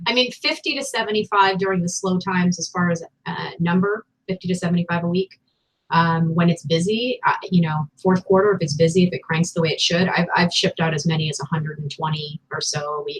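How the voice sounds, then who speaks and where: A woman's fairly low, somewhat breathy voice at a fairly quick pace, with a dry, close sound and no echo. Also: ordinary pitch variation. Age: 40s. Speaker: online reseller and video host. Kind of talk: casual chat.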